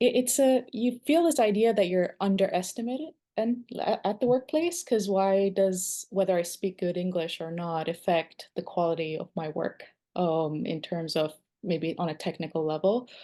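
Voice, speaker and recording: A woman with a non-native accent speaks at a moderate pace with lively intonation. Her medium-pitched voice has a dark, mellow tone over a quiet background. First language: not English. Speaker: webinar participant. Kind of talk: discussion comment.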